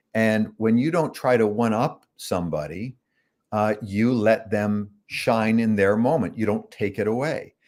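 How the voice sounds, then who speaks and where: In a Canadian accent, a man talks at a fairly slow pace with medium pitch, ordinary pitch variation and an ordinary speaking voice, on a very clean recording with a silent background. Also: very even loudness. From Canada (Toronto), partly Chicago. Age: 60s. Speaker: author, son of a self-help speaker. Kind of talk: interview storytelling.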